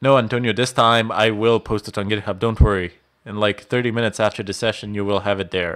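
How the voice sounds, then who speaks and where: A man speaks at a very fast pace in a fairly low pitch. His intonation is monotone and flat over a quiet background. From Bosnia. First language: Bosnian. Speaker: IT instructor. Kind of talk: live stream Q&A. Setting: live stream from home.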